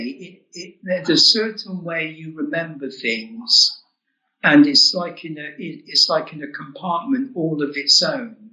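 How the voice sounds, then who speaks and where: In a southern English accent, a man talks at a very slow pace. His high-pitched voice swings very widely in pitch. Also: big swings in loudness. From England, Oxford. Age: 70s. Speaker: author and UFO experiencer. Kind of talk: interview storytelling. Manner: halting, with repeated words.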